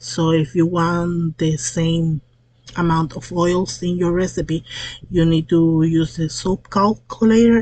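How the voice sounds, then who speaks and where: A woman speaks very slowly in a fairly low pitch with a Spanish accent. Her voice is somewhat breathy and her intonation fairly even. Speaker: soap maker. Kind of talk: tutorial. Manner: halting, with fillers.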